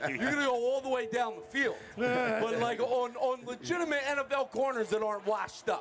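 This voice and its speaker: Amid noticeable background noise, a man with an extremely high pitch and energetic tone talks at a fairly quick pace with hardly any pauses, ordinary pitch variation and very even loudness. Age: 40s. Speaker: radio sports show host. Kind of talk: live radio sports talk show. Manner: energetic, hype announcer style.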